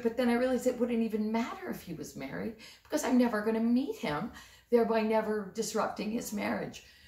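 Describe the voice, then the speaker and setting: With noticeable background noise behind her, a woman talks at a fairly high pitch and a moderate pace. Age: 60s. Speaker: storyteller and comic. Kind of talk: comic storytelling to camera. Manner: casual, conversational.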